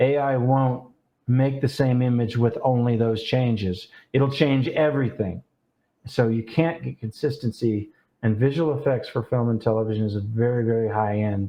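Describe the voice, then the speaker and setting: An ordinary speaking voice from a man, medium in pitch, at a moderate pace with fairly even intonation. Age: 60s. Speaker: real estate photographer, former visual effects artist. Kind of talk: interview. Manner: casual, with fillers.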